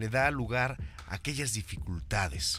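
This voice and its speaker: A man's medium-pitched voice has a bright, sharp tone, vocal fry, and very wide pitch swings. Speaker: radio host. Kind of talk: podcast interview host.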